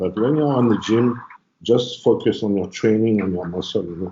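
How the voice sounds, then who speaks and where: In a French accent, a man speaks at a fairly low pitch and moderate pace with ordinary pitch variation. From France. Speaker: bodybuilder and trainer. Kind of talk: casual interview.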